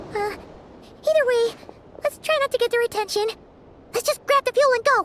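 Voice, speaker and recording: A put-on character voice sits at an extremely high pitch with a nervous tone. The delivery moves at a fairly quick pace. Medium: video game. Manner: casual, slightly nervous.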